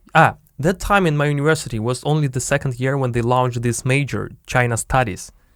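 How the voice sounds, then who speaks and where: In a very clean recording with a silent background, a man with a Russian accent speaks at a fairly quick pace and a fairly high pitch. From Siberia, Russia (Biysk). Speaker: podcast host, entrepreneur. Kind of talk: casual chat. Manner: halting, searching for words.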